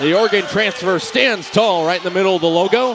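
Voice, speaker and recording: Noticeable background noise behind a man's lively, varied intonation. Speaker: sports play-by-play announcer. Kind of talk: live volleyball play-by-play call.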